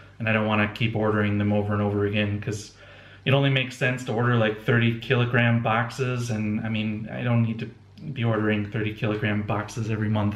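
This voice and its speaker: Audible room echo surrounds a very fast, monotone voice with flat intonation. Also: man, fairly low pitch for a man. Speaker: homebrewing video blogger. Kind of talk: casual video blog. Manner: halting, many fillers and restarts.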